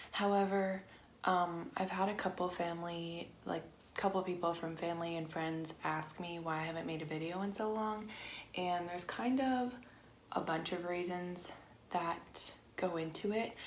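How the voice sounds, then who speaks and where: Against noticeable background noise and audible room echo, a woman speaks at a moderate pace in a fairly low pitch with fairly even intonation. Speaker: lifestyle vlogger. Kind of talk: casual chat. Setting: home craft room. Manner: flat, emotionless when discussing sad topics.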